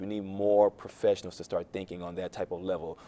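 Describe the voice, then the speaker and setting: Speaking at a very fast pace, a man with an American accent has a fairly low pitch and a dark, mellow tone. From Miami, Florida. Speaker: youth mentor and financial advisor. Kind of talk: talk show interview.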